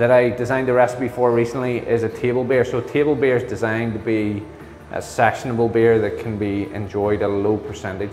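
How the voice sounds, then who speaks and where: A man speaks at a fairly quick pace with fairly even intonation, audible room echo and faint music in the background. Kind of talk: interview answer. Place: hall. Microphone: lapel.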